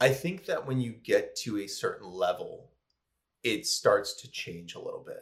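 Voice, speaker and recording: With a Buffalo accent, a man talks at a moderate pace with big swings in loudness. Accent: Western New York (Buffalo) American. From US, Buffalo, New York. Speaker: food blogger and recipe creator. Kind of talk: casual interview chat.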